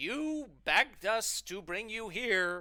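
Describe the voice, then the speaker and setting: A man's put-on character voice, high in pitch with very wide pitch swings, on a very clean recording with a silent background. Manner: very theatrical.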